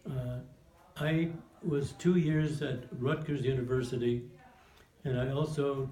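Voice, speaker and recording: Amid audible room echo and noticeable background noise, a man speaks at medium pitch with fairly even intonation. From New Jersey (Montclair). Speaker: war veteran. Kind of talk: oral history interview.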